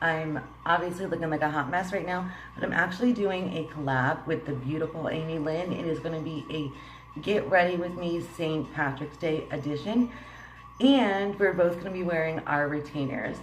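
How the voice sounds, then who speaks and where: Over noticeable background noise and audible room echo, a woman talks at a moderate pace in a fairly low voice with ordinary pitch variation. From Puerto Rican heritage. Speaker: beauty vlogger. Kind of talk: makeup tutorial vlog. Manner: casual, laughing.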